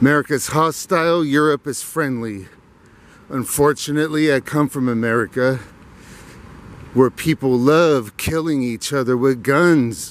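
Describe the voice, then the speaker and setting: Recorded with a dry sound and no echo, a man speaks at a fairly slow pace with ordinary pitch variation. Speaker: walking vlogger. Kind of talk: casual vlog chat. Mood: opinionated, ranting. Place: garden. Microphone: phone near.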